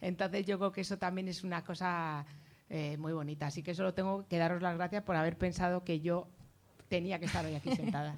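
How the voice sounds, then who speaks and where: Fairly low in pitch, a woman talks at a fairly quick pace with fairly even intonation in a normal speaking voice. The recording is very clean, with a silent background. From Getafe, south of Madrid, Spain. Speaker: journalist. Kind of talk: book presentation talk. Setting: public event with audience.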